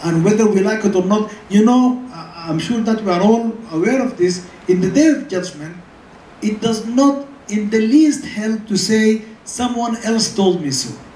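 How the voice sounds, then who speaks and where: The speaker uses an Arabic accent at a fairly slow pace over noticeable background noise. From Sudan. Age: 70s. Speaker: scholar. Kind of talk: lecture Q&A answer. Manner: halting, with repetitions.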